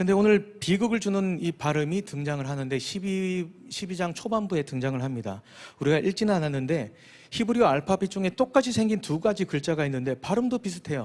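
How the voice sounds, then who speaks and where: The intonation is lively and the pace fairly quick. The recording is very clean, with a silent background. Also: man, high pitch for a man. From Busan, South Korea. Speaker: pastor. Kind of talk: sermon. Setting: church.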